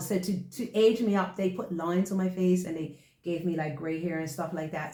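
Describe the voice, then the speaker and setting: A woman with a Bermudian accent speaks at a medium pitch and a moderate pace in an animated tone, with audible room echo. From Bermuda. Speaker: actress and show co-host. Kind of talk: casual chat.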